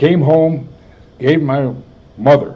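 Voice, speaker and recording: A man talks at a fairly slow pace with an American accent. His voice is somewhat breathy, with ordinary pitch variation. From US Midwest. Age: 80s+. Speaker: war veteran. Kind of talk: oral history interview. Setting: health center.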